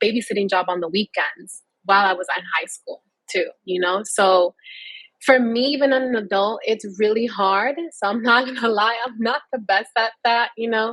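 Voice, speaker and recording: Speaking with a Spanish accent, a woman keeps a moderate pace. Her pitch is fairly high, with ordinary variation. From New York City. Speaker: tech professional, panelist. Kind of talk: panel discussion.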